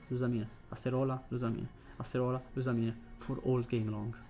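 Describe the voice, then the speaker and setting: Over music in the background, a man with an Italian accent speaks at a fairly quick pace in a medium pitch. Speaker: gaming YouTuber. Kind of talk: gameplay commentary. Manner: hesitant, many fillers.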